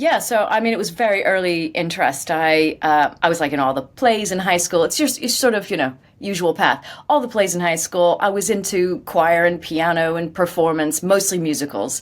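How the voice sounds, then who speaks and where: A woman with an American accent speaks at a moderate pace, barely pausing. Her pitch is fairly low and varies in an ordinary way. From US, Maryland. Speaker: voice actor. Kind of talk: interview.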